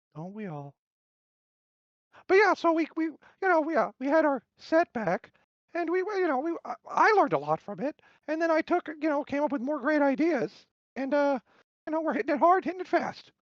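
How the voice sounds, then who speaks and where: In a high-pitched, cartoonish character voice, the speaker goes at a moderate pace with long, frequent pauses. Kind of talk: interview answer. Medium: puppet.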